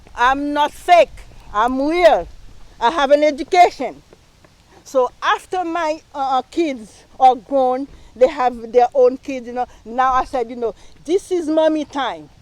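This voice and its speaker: A woman talks at a fairly slow pace with a strong Haitian accent. Her voice is high-pitched, with ordinary pitch variation. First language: Haitian Creole / French. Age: 60s. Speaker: local council candidate. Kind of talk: campaign speech. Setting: live stream rally. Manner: halting, many fillers.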